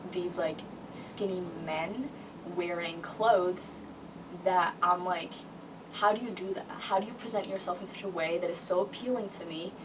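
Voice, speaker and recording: A woman's medium-pitched voice at a moderate pace, fairly even intonation and big swings in loudness, with audible room echo and noticeable background noise. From Brazil. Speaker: vlogger. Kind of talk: casual monologue vlog. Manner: hesitant with many fillers.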